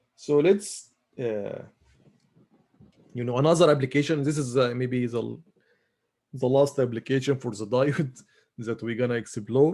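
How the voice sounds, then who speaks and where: In a very clean recording with a silent background, a man speaks at a moderate pace and medium pitch, using ordinary pitch variation, a dark, mellow tone and long, frequent pauses. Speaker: university lecturer. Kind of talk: lecture. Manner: halting, many fillers.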